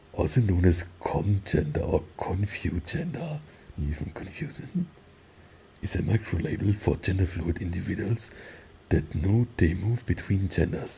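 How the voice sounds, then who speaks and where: This soft-spoken man has a very deep, low pitch and a dark, mellow tone that is somewhat breathy. His intonation is lively and his pace moderate. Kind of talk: ASMR rambling talk. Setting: virtual reality world.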